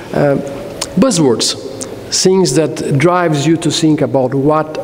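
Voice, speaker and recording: A man with a fairly high voice speaks at a fairly slow pace, with long, frequent pauses, very even loudness and ordinary pitch movement, over audible room echo and noticeable background noise. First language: Spanish. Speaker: technology executive, keynote speaker. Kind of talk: conference keynote. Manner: hesitant, many fillers.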